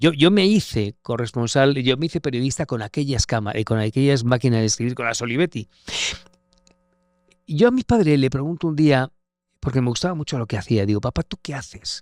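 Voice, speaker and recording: With lively intonation and a fairly quick pace, a man speaks at a medium pitch in a dry, close sound with no echo on a very clean recording with a silent background. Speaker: war correspondent. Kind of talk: interview conversation. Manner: halting.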